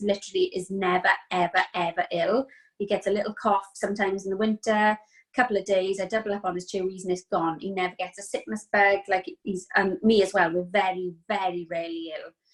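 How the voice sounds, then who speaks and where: A woman with a Welsh accent talks at a fairly quick pace in a flat, monotone delivery. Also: hardly any pauses. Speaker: mother sharing testimony. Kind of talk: testimony.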